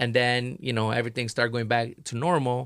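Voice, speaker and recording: Very fast and with fairly even intonation, someone speaks with a Portuguese accent on a very clean recording with a silent background. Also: man. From Brazil. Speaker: artist. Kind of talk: casual chat.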